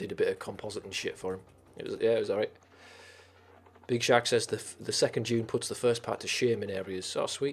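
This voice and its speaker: A man's very fast speech broken by long, frequent pauses. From northern England, Teesside. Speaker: streamer. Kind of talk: casual chat. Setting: live stream.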